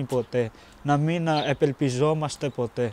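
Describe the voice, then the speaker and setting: With fairly even intonation, a man talks at a fairly high pitch in a plain, everyday voice. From Pakistan. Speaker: refugee student. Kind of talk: documentary interview.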